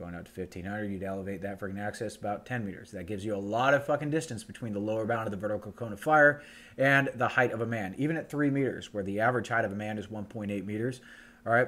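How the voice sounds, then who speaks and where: On a very clean recording with a silent background, a man speaks at a very fast pace. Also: fairly low pitch for a man, ordinary pitch variation. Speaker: firearms instructor / show host. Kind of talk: lecture. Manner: casual, profane.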